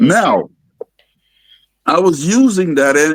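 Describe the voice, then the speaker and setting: A man talks fairly slowly, his pitch rising and falling very widely. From Guyana. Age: 60s. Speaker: testimonial guest. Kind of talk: testimony. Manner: halting, repeats words.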